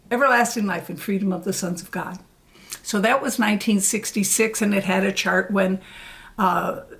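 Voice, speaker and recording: A woman's somewhat breathy, medium-pitched voice moves at a moderate pace with ordinary pitch variation. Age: 70s. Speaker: former religious pioneer. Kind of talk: interview.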